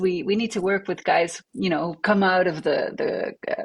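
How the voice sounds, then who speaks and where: A woman's somewhat breathy voice at a moderate pace. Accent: French. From Belgium, French-speaking family in Flemish area, moved to Montreal at 14. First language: French. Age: 40s. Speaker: attorney and electronic music artist. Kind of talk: interview. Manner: hesitant, many fillers and repetitions.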